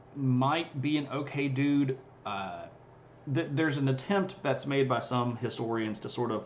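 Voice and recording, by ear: Someone reads aloud in a natural voice. Their intonation holds fairly even.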